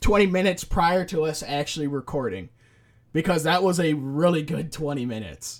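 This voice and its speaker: A man's fairly high-pitched voice with ordinary pitch variation, an ordinary speaking voice. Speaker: podcast host. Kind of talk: casual chat. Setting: online voice call. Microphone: new dedicated microphone, compressed through voice chat app.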